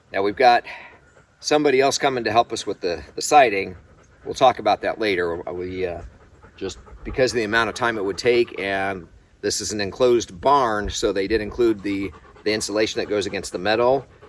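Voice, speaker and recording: His voice is an ordinary speaking voice, pitched fairly low for a man. He moves at a fairly quick pace with ordinary pitch variation. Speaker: homesteader vlogger. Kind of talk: casual vlog narration.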